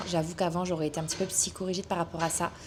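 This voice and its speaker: Soft-spoken and medium in pitch, a woman talks at a very fast pace. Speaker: vlogger and online coach. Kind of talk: casual vlog. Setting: outdoors, hot weather. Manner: hesitant, many fillers.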